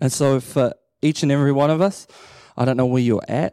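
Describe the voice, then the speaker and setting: Talking at a fairly quick pace, a man with a New Zealand accent has a fairly high pitch. His tone is dark and mellow. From New Zealand, Waikato (Matamata). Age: 30s. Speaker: associate pastor. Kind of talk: sermon. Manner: animated.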